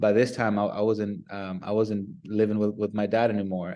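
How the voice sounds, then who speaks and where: Speaking at a moderate pace with a Spanish accent, a man has a fairly low pitch and a dark, mellow tone. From Nicaragua. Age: 30s. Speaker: business development professional. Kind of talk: interview. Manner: halting with repetitions.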